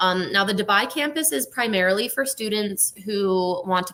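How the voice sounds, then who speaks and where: A woman with an American accent speaks at a medium pitch and a moderate pace. Her intonation is lively, with noticeable background noise. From United States. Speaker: university recruitment manager. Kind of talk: live webinar presentation. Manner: casual, many filler ums.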